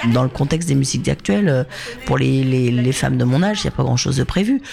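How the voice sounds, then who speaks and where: A woman talks at a fairly quick pace, and noticeable background noise can be heard. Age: 50s. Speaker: musician and communications manager. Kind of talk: interview.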